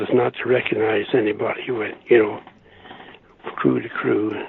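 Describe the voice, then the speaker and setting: A man speaks over noticeable background noise. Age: 80s+. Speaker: war veteran. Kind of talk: interview answer.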